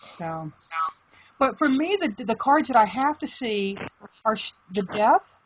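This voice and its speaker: At a fairly slow pace, a woman's voice comes out somewhat breathy. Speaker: tarot reader. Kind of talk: casual video chat interview.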